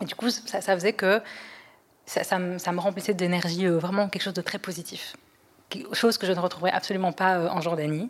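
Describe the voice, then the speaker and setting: Using a plain, everyday voice, a woman speaks fairly quickly at a medium pitch with fairly even intonation. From Europe, raised there. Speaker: podcast guest. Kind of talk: testimony.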